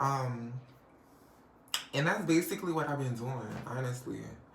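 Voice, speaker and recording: In a very deep, low voice, a woman speaks with an animated tone and ordinary pitch variation amid audible room echo. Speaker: vlogger. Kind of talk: casual chat.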